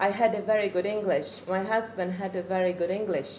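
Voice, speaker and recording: The speaker has a Czech accent. Audible room echo surrounds the voice. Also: woman. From Czech Republic. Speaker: parent. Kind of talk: talk to an audience. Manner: halting.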